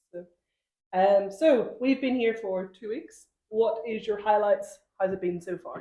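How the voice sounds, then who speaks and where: At a fairly slow pace, a woman with a fairly high pitch and a dark, mellow tone speaks with ordinary pitch variation and big swings in loudness. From Northern Ireland. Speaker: primary school teacher, podcast co-host. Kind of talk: casual chat.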